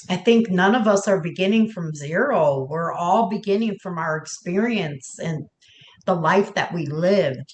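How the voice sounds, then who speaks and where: The woman's voice is somewhat breathy and sits at a medium pitch. She keeps a moderate pace, and her pitch varies an ordinary amount. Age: 50s. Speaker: podcast host. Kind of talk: roundtable conversation.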